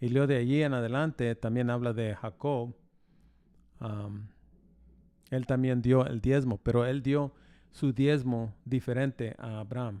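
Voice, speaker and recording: Recorded very cleanly against a silent background, a man talks at a fairly slow pace with a dark, mellow tone, medium pitch and fairly even intonation. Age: 60s. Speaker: pastor. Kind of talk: interview. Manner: halting.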